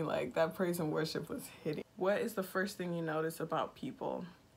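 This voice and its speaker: Speaking with vocal fry, a woman keeps her fairly low voice at a fairly even intonation. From Nigeria. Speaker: YouTuber. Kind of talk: casual chat. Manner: monotone.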